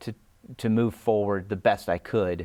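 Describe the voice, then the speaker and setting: Speaking fairly low, a man keeps a moderate pace. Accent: American. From US South, Dallas, Texas. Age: 50s. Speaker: interview guest, blind man. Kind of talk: interview. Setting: studio. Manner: halting, many repetitions and fillers.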